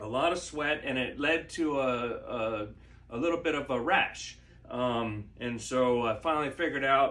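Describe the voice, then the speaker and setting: The voice is a man's, at a medium pitch. Noticeable background noise can be heard. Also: ordinary pitch variation, moderate pace. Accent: American. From Maryland, US. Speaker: home video creator sharing injury recovery tips. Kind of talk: casual tutorial. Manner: halting, many fillers (uh, um).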